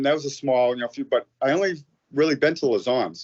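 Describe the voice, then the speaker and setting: Delivery is very fast. An American accent can be heard. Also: man. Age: 50s. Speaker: firefighter and amateur MMA fighter. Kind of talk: casual interview. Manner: halting, many false starts.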